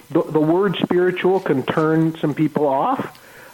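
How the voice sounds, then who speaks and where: A man with a Canadian accent, his pitch fairly high, at a fairly slow pace amid noticeable background noise. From Ontario, Canada. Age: 60s. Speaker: life coach. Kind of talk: radio interview. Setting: radio studio. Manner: halting, many fillers.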